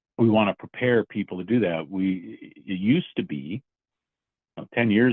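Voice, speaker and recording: A man with an American accent, ordinary pitch variation and a fairly quick pace. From Minnesota. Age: 60s. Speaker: business owner. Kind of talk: interview.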